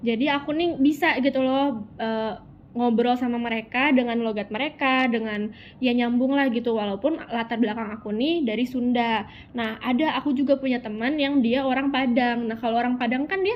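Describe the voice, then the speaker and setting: A woman talks at a fairly quick pace in a high voice with fairly even intonation. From Sundanese region, West Java, Indonesia. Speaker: university student. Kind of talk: interview. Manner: casual, colloquial Jakarta slang.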